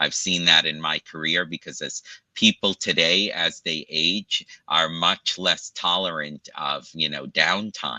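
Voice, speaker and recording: With a very deep, low pitch and vocal fry, a man talks at a moderate pace in a bright, sharp tone, using ordinary pitch variation over a dry, close sound with no echo. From Brooklyn, New York. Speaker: pain medicine doctor. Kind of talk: interview. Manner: halting.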